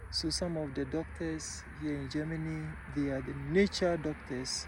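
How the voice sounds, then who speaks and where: In an African accent, a man speaks at a fairly slow pace with audible room echo. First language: African language. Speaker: travel vlogger. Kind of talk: casual vlog talk. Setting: outdoors in a forest.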